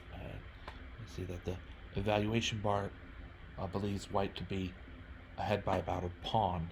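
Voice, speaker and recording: A man speaks at a fairly low pitch and a moderate pace, somewhat breathy. His intonation is monotone and flat, with long, frequent pauses. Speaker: chess streamer. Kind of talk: game review commentary. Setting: live stream. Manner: halting, self-correcting.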